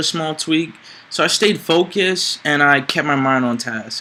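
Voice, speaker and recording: A man's fairly high voice with a bright, sharp tone. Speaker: public speaking student. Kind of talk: interview.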